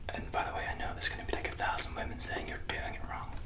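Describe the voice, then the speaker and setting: A man is whispering. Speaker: ASMR creator. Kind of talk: casual vlog chat. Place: bathroom. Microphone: phone near.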